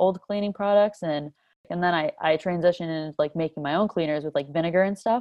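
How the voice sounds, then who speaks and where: With an ordinary speaking voice, a woman talks at a fairly low pitch using fairly even intonation. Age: 20s. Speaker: sustainability influencer. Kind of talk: casual chat.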